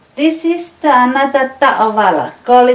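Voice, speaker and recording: A high-pitched woman's voice with a Tongan accent, fairly slow, with ordinary pitch variation and noticeable background noise. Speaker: craft shop owner. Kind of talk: instructional demonstration.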